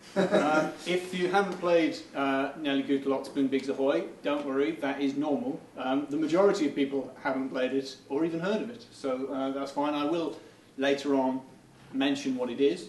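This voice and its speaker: A man talks at a moderate pace, his pitch fairly high with ordinary variation. Audible room echo and noticeable background noise surround the voice. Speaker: game developer giving a talk. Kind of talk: conference presentation. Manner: halting, many fillers.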